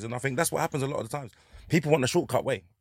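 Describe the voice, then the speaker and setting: A man with a North London accent on a very clean recording with a silent background. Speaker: comedian. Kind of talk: casual chat.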